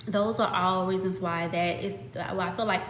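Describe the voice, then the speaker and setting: A woman of medium pitch speaks with ordinary pitch variation. Noticeable background noise and audible room echo are present. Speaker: fitness content creator. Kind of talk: live stream chat. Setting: live stream. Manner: casual, filler-heavy.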